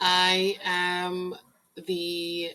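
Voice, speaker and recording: A woman is speaking. She has a Spanish accent. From Puerto Rico. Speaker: domestic violence recovery coach. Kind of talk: personal introduction vlog.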